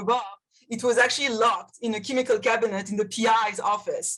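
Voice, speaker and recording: A woman speaks in a high voice with a French accent. Her delivery is very fast. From France. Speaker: chemistry professor. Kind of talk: panel discussion. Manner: halting.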